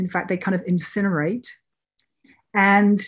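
A woman with a British accent speaks at a moderate pace and medium pitch in a somewhat breathy voice over a quiet background. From Britain. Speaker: documentary filmmaker. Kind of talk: interview conversation.

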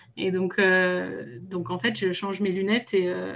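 Her voice falls in the medium range for a woman. The speaker is female. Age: 30s. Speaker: translator and travel business founder. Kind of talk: casual interview. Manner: hesitant, many fillers.

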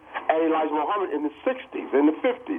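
A man talks at a fairly quick pace with lively intonation. Noticeable background noise runs under his voice. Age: 60s. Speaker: caller. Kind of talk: call-in commentary. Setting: phone call.

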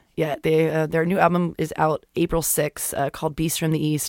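A woman speaks in a normal speaking voice with an American accent. Her pitch is fairly low and her pace fairly quick. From Florida. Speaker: podcast host. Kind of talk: casual chat.

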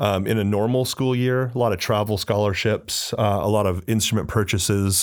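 On a very clean recording with a silent background, a man with a plain, everyday voice speaks at a fairly low pitch and a moderate pace. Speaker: high school music teacher. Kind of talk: casual interview chat.

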